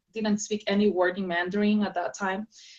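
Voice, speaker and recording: A woman speaks in a Spanish accent at medium pitch and a fairly quick pace. Her intonation is monotone and flat. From South America, Andes highlands. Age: young. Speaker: author and speaker. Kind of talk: interview. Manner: halting.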